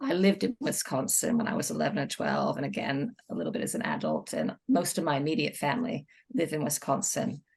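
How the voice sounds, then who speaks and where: A woman with an American accent talks at a very fast pace and a fairly low pitch, with vocal fry and very wide pitch swings. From United States. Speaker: children's book author. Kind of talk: casual chat.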